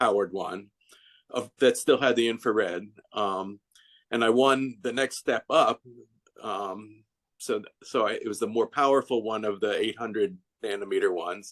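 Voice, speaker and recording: With a medium pitch and ordinary pitch variation, a man speaks at a moderate pace, leaving long, frequent pauses, in a dry, close sound with no echo. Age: 60s. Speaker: customer giving a testimonial. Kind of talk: testimony. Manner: halting, many false starts and fillers.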